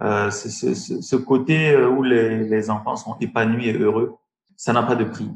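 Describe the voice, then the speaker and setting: At a very slow pace, a man with a medium pitch speaks. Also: ordinary pitch variation. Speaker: tech entrepreneur. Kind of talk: interview. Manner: halting.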